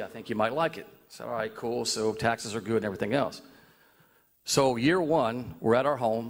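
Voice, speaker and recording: A man speaks with a Southern US accent at a fairly quick pace. His pitch sits in the medium range. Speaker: citizen speaking at public comment, former football coach. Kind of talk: public comment at city board meeting. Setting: city board meeting. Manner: loud.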